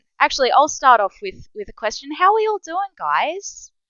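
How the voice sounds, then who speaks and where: High-pitched woman's voice with very wide pitch swings at a moderate pace. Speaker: live-action role-play game organiser. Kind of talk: casual chat. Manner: low energy.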